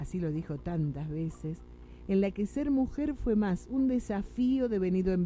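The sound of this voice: A woman speaks at a fairly slow pace with lively intonation. Her pitch is fairly low and her tone dark and mellow.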